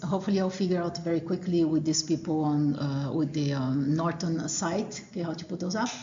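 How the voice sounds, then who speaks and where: A woman with a Portuguese accent at a moderate pace, with audible room echo. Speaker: college professor. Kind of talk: lecture. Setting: classroom. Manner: hesitant, many fillers.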